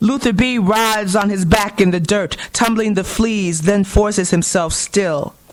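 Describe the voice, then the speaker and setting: A woman talks at a fairly slow pace in an unremarkable speaking voice. Her pitch is medium, with ordinary variation. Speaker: poet. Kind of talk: poetry reading.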